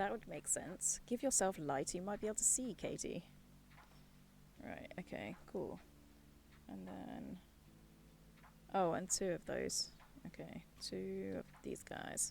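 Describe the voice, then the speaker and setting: A soft-spoken woman in a British accent, at a very slow pace with long, frequent pauses. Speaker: streamer. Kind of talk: casual chat. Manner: thinking aloud.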